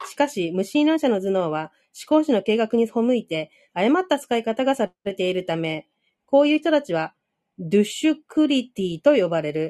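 Against a quiet background, a woman with a dark, mellow tone speaks at a moderate pace, her pitch swinging very widely. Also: fairly high pitch for a woman. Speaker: reading group participant. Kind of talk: casual discussion and reading aloud. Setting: online audio room.

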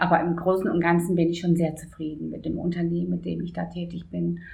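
A woman talks at a fairly quick pace in a fairly low pitch. Audible room echo surrounds her voice. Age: 50s. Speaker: office assistant. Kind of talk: interview.

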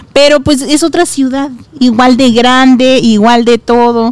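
Against noticeable background noise, a woman with a high pitch speaks at a fairly slow pace. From Guadalajara, Mexico. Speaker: podcast host. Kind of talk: casual chat. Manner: animated.

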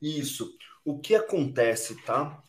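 A man talks in a somewhat breathy voice. His pitch varies in an ordinary way. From Brazil, southern Minas Gerais. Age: 30s. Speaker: entrepreneur, company cofounder. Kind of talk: interview. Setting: remote recording from home.

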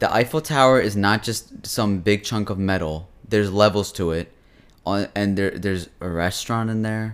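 A man's unremarkable speaking voice, fairly low in pitch, with ordinary pitch variation at a moderate pace. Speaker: podcast host. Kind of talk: casual chat. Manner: bantering, jokey.

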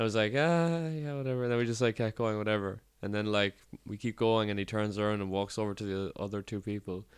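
Over a quiet background, a man with a Cork accent talks very fast at a fairly low pitch. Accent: Cork Irish. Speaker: podcast host. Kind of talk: casual chat. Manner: monotone.

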